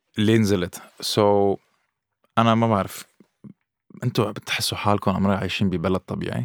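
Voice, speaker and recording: A man's fairly low voice at a moderate pace, with long, frequent pauses, fairly even intonation, and a dry, close sound with no echo. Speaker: podcast guest. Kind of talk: casual chat. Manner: code-switching English and Arabic.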